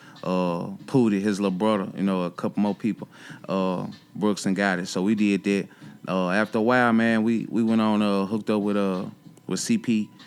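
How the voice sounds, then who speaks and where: Speaking in a flat monotone at a moderate pace, a man's voice sits fairly low in pitch. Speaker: rapper. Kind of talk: casual interview. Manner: hesitant, many fillers.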